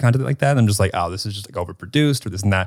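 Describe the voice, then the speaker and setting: Speaking with an American accent at a very fast pace, a man shows ordinary pitch variation. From Chicago area. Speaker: podcast co-host. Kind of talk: casual chat.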